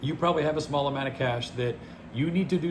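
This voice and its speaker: In an American accent, a man speaks with audible room echo. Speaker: finance vlogger. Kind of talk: casual monologue. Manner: fast.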